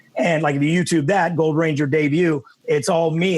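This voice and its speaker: A man with an American accent talks at a very fast pace and fairly high pitch, with noticeable background noise. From Texas. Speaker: actor. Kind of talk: interview. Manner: casual.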